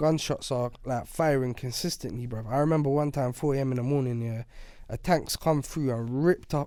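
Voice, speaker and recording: A man with a London accent speaks at a fairly quick pace in a medium pitch, his tone dark and mellow and his intonation fairly even. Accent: London Multicultural English. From Iraq (Baghdad), moved to UK at 8. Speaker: rapper. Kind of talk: podcast interview. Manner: casual, slangy.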